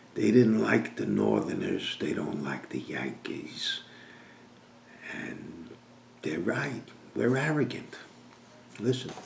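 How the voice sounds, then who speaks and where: Long, frequent pauses mark a man's very slow speech. The recording has audible room echo and noticeable background noise. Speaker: business coach. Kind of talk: sales pitch.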